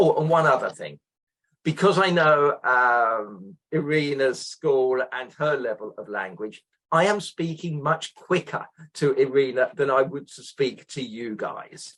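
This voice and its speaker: A man with a British accent, fairly high-pitched, with lively intonation at a fairly slow pace. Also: big swings in loudness. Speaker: exam representative and teacher. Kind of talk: interview.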